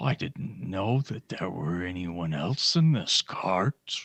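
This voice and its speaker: Putting on a character voice, a man with a fairly low pitch speaks at a fairly slow pace. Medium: actual play. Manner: slow, grumbling.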